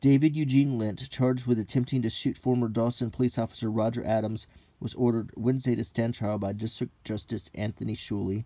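The voice has a dark, mellow tone, fairly even intonation and a fairly quick pace. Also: man. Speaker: newspaper reader. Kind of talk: reading aloud with casual commentary. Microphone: phone near.

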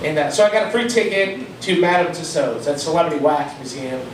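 Speaking fairly quickly with a high voice and ordinary pitch variation, a man is heard over noticeable background noise and audible room echo. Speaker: stand-up comedian. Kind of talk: stand-up comedy routine. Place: bar.

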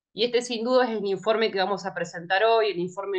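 A woman with a Rioplatense accent and fairly even intonation, over a quiet background. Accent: Argentine Spanish (rioplatense). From Argentina, rural Buenos Aires province. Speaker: moderator, academic researcher; moderator. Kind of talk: event moderation and speaker introductions. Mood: warm, friendly. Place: home room. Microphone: webcam.

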